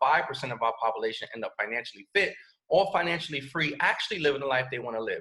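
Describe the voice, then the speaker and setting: A man's animated, bright, sharp voice at a very fast pace. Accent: New York. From New York City (Bronx). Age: 30s. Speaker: network marketing presenter. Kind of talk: sales pitch. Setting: video call.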